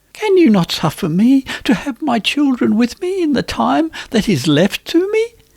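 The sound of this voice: A put-on character voice, fairly high in pitch, with hardly any pauses. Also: moderate pace.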